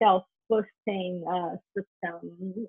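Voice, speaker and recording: This is a woman's voice. Her pitch rises and falls in an ordinary way. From northern China, Harbin. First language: Mandarin. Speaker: consumer product company co-founder. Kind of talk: interview. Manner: halting, many fillers.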